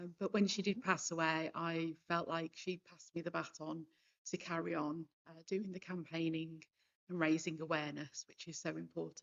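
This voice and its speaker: A woman with a West Midlands accent speaks at a fairly low pitch. Her intonation is monotone and flat, while her loudness swings widely. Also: moderate pace. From Worcestershire, England. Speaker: cancer survivor, campaigner. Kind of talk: panel discussion testimony. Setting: stage with audience.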